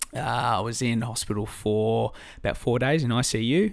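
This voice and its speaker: In a very clean recording with a silent background, a man with an Australian accent speaks with ordinary pitch variation. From Australia, Albury-Wodonga on the New South Wales/Victoria border. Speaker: diabetes patient and fitness enthusiast. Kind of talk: casual interview chat. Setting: sharing one microphone indoors.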